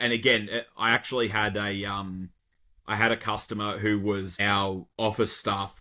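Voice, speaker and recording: A man with an Australian accent has a fairly low voice and a bright, sharp tone. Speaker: garbage truck driver. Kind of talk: podcast conversation.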